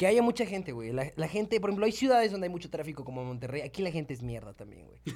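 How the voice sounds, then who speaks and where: At a very fast pace, a man with a fairly high pitch speaks with very wide pitch swings and big swings in loudness. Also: hardly any pauses. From Mexico, San Luis Potosí. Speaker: freestyle rapper. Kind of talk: casual chat. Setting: studio.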